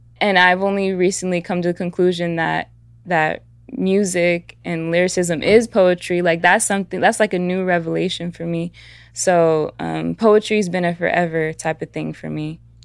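Here a woman with an American accent speaks at a fairly low pitch. Her delivery is monotone and flat. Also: moderate pace. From US (Atlanta, Georgia and Southern California, Mexican household). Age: 20s. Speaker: musician and activist. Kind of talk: casual interview chat.

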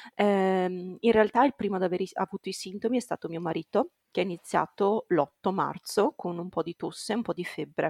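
In an ordinary speaking voice, a woman speaks at a moderate pace and medium pitch with ordinary pitch variation and hardly any pauses, the sound dry and close with no echo. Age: 20s. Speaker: primary school teacher, new mother. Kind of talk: testimony.

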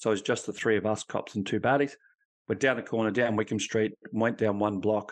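A man with an Australian accent speaks at a very fast pace. His intonation is monotone and flat. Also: quiet background. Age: 50s. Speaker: ex-police officer, resilience consultant and author. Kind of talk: interview testimony.

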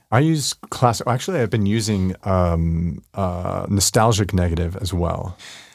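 A man with an American accent and a plain, everyday voice speaks at a fairly slow pace with hardly any pauses, in a fairly low pitch with ordinary pitch variation, recorded very cleanly against a silent background. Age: 50s. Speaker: street photographer. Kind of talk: interview. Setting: studio.

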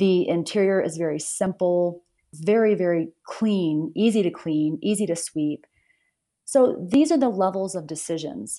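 This speaker has a dark, mellow tone, an American accent and lively intonation, against a quiet background. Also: woman, fairly low pitch for a woman, fairly slow pace. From US South. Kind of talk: casual interview chat.

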